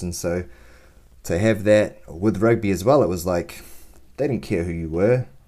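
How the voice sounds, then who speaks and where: A male voice of dark, mellow tone. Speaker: podcast host. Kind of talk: casual interview chat.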